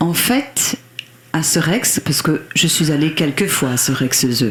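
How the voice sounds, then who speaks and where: A woman with a very deep, low pitch speaks at a very slow pace, her pitch swinging very widely over noticeable background noise. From Belgium, Liège region. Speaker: country singer. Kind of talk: radio interview. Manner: halting, hesitant.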